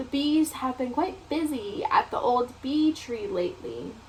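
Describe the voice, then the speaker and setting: A woman's high-pitched, put-on character voice at a moderate pace, with clear background noise. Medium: read story.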